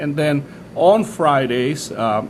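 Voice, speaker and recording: Noticeable background noise sits behind a man speaking with ordinary pitch variation. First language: Spanish. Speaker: pastor. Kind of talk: interview. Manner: halting, many fillers and restarts.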